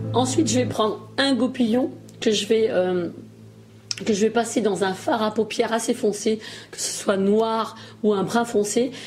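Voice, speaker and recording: Noticeable background noise is present. Pitch movement is ordinary. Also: woman. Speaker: beauty YouTuber. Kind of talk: makeup tutorial. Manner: hesitant, many fillers.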